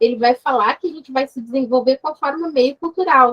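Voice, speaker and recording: A woman talks at a high pitch, her intonation lively. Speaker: university lecturer. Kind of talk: online seminar discussion.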